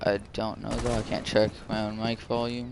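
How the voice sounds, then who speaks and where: Noticeable background noise runs under the recording. A soft-spoken man talks at a moderate pace. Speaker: game streamer. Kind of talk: gameplay live stream chat. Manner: soft-spoken, quiet.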